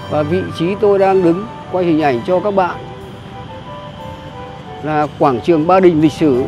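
Music plays in the background as the speech moves at a fairly slow pace. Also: dry sound with no echo. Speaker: travel vlogger. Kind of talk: casual vlog chat. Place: street. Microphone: phone near.

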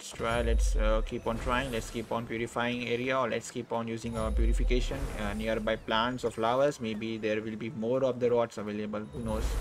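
Hardly any pauses break up this moderate-paced speech. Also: man. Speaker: gaming YouTuber. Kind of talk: let's play gaming commentary. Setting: home recording at computer. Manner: animated.

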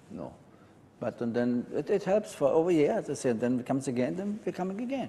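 A man's fairly high voice with a dark, mellow tone and very wide pitch swings, fairly quick, in a German accent. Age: 70s. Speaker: resort guest giving testimonial. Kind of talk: interview testimony. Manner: halting. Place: home room. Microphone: lapel.

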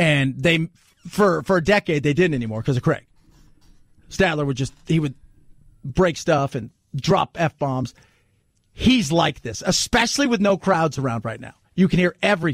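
A man speaks at a moderate pace with lively intonation and long, frequent pauses. The sound is dry with no echo over a quiet background. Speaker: radio talk show host. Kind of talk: political talk radio monologue; talk radio commentary. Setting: studio. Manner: animated, conversational. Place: studio.

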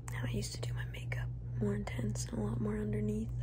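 Noticeable background noise sits under the voice of a woman. She is soft-spoken and talks at a fairly quick pace. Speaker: ASMR streamer. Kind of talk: soft-spoken ASMR chat. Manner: soft-spoken, hushed close-mic talk. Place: home room. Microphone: phone near.

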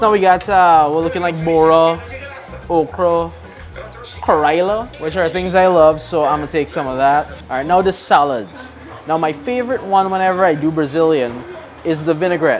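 With faint music in the background, a man speaks at a moderate pace. His pitch is high, with ordinary variation. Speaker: food show host. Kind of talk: casual food vlog commentary. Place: shop.

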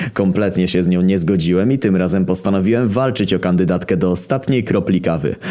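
A man's very deep, low voice at a fairly quick pace, with noticeable background noise. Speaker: internet story reader. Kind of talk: comedic first-person story narration.

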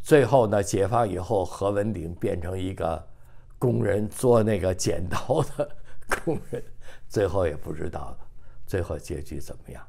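A man's somewhat breathy, dark and mellow voice, fairly low in pitch, with lively intonation and big swings in loudness over light background noise. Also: fairly slow pace. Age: 80s+. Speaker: retired engineer, son of a general. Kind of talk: oral history interview. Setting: seniors' apartment. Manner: halting with many fillers. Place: home room. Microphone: lapel.

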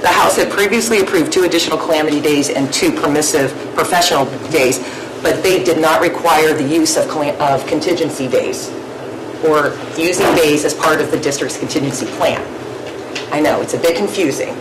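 A woman's very deep, low voice, fairly even in intonation and fairly quick in pace, with noticeable background noise. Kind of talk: meeting report. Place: meeting room. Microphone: podium.

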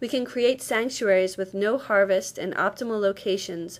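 A woman's normal speaking voice at medium pitch, ordinary pitch variation and moderate pace, in a very clean recording with a silent background. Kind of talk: scripted explanation.

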